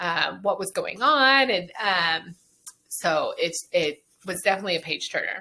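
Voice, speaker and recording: A woman's bright, sharp tone at a fairly slow pace. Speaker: book reviewer. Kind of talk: casual talk to camera.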